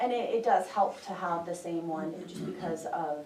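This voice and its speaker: With audible room echo and noticeable background noise, a woman speaks fairly slowly at a fairly low pitch. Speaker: insurance trust representative. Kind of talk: presentation to county commissioners.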